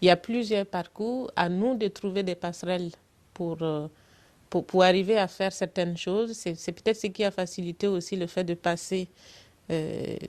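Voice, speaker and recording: Her pitch fairly low, a woman speaks at a fairly slow pace with fairly even intonation. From Burkina Faso. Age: 40s. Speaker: political candidate, electrical engineer. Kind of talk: interview. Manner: hesitant, many fillers.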